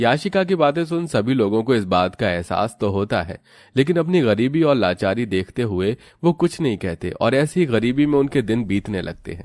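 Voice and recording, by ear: A man's medium-pitched, slightly mellow voice at a moderate pace, with big pitch swings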